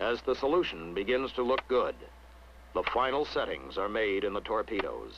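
A man talks at very even loudness over noticeable background noise. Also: moderate pace. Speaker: documentary narrator. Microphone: old recording.

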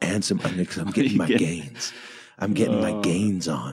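Putting on a gruff, raspy character voice, a man speaks at a moderate pace with a very deep, low pitch and very wide pitch swings. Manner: macho, gruff.

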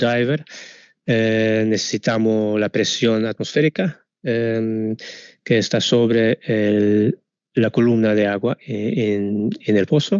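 A man with a non-native accent speaks very slowly, the sound dry with no echo and the background quiet. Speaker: product manager for sensor manufacturer; presenter. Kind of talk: webinar presentation. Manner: halting, many fillers. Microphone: video call.

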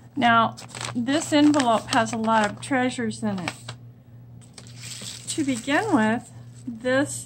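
Amid noticeable background noise, a woman speaks at a very slow pace. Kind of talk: casual craft show-and-tell. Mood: delighted, warm. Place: home room.

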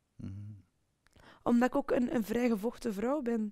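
A woman with a high pitch talks at a fairly slow pace, using ordinary pitch variation. The background is quiet. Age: 40s. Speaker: sales professional. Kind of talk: personal testimony interview. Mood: personal, reflective storytelling. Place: studio.

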